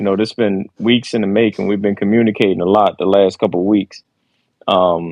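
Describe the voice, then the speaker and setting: His pitch is fairly low for a man. He talks at a fairly quick pace in a monotone, flat intonation. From Philadelphia. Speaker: podcast guest. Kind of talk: casual chat.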